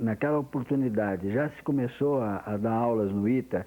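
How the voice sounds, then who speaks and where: His tone is dark and mellow. The man's pitch sits at a medium level. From interior of São Paulo state, Brazil. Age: 60s. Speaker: retired engineer giving oral history. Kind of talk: oral history testimony. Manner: halting, with frequent repetitions.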